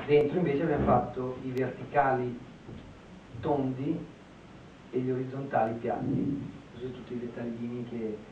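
A man's monotone, flat voice at a moderate pace, with long, frequent pauses and noticeable background noise. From Italy. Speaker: architect; architect lecturer. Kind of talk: lecture. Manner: halting. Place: classroom.

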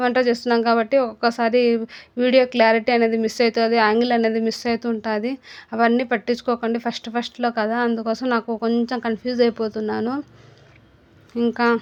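A woman with a non-native accent speaks at a fairly high pitch in a monotone, flat way. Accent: non-fluent Telugu. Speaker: cooking YouTuber. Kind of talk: casual vlog talk. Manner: halting, stumbling.

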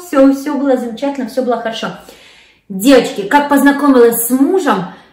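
A woman with a high-pitched voice and audible room echo. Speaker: vlogger. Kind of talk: casual vlog chat. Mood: warm, cheerful. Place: kitchen.

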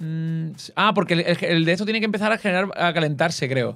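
The man speaks at a very fast pace in a fairly high pitch. His intonation is lively, and the background is quiet. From Cádiz, Andalusia, Spain; Andalusia, Spain. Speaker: gaming YouTuber. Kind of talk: casual gaming chat. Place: home room. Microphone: studio mic.

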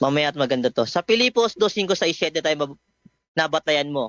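The speaker is a man. His intonation is lively. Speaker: debater. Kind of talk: heated religious debate. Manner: sharp, pressing, sarcastic, quick-firing.

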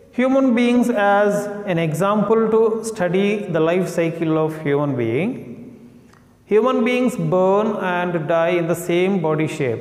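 Audible room echo surrounds the speech. The pace is very slow, with ordinary pitch variation. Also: man. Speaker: school teacher. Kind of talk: lecture. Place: classroom. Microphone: lapel.

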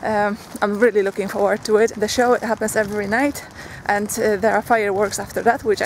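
Over noticeable background noise, a woman talks at a moderate pace with monotone, flat intonation in a dry sound with no echo. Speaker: vlogger. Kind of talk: casual vlog chat. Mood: cheerful, laughing. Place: street. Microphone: phone near.

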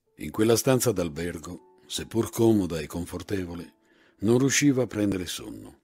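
Music plays behind a man with a very deep, low pitch. He talks at a fairly slow pace with very wide pitch swings. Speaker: actor and voice actor. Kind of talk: literary short story reading.

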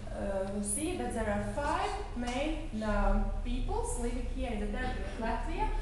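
A woman speaks at a fairly slow pace. Strong room echo and noticeable background noise surround her voice. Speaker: tour guide. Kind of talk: guided museum tour. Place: hall. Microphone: camera far.

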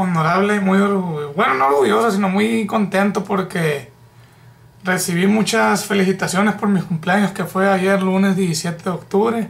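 Speaking at a fairly slow pace, a man uses a high pitch. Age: 20s. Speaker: vlogger. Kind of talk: casual vlog monologue. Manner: halting. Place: home room. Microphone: webcam.

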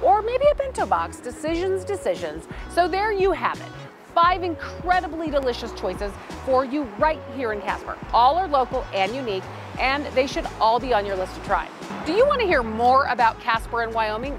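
Clear music plays behind a woman speaking at a moderate pace. The sound is dry with no echo. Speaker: local guide. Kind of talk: presenter to camera, promotional. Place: street.

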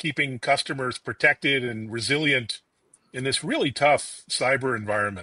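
The tone is bright and sharp, and the sound is dry with no echo against a quiet background. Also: man. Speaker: tech interviewer. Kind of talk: interview. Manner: upbeat. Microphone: video call.

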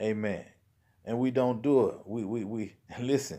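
A man's dark, mellow tone comes through over a quiet background. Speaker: lay preacher. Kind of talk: sermon. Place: home room. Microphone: phone near.

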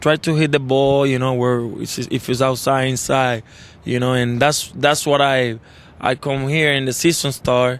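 Dry sound with no echo carries a man speaking in a flat monotone. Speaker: interview guest. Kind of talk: interview answer. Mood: relaxed, reflective. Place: stadium. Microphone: handheld.

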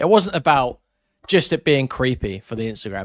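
Over a quiet background with dry sound and no echo, a man talks very fast with very wide pitch swings. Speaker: streamer reacting to video. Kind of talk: commentary. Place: home room.

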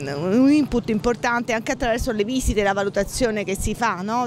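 Against noticeable background noise, a woman talks at a moderate pace with ordinary pitch variation, and the sound is dry with no echo. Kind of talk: interview answer. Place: street. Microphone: handheld.

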